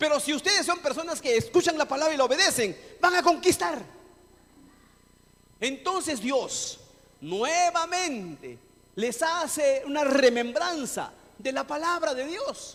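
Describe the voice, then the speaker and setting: This man's pitch is extremely high, and his intonation is lively. He speaks at a fairly slow pace with an animated tone and long, frequent pauses. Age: 60s. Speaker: pastor. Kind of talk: sermon.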